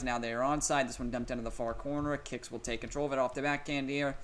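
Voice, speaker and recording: A man at a medium pitch speaks at a very fast pace. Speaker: gaming commentator. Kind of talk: live commentary. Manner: animated; loud.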